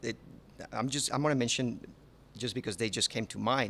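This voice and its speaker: Using a medium pitch with lively intonation, a man speaks in a bright, sharp tone touched by vocal fry. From Panama. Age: 30s. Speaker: chef. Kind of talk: interview. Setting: on location at a resort restaurant. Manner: halting, with many repetitions.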